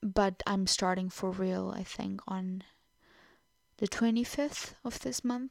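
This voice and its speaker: On a very clean recording with a silent background, a woman talks at a very slow pace in a Portuguese accent, her medium pitch showing ordinary variation. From Portugal. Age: 20s. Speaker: podcaster. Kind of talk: casual monologue. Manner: halting.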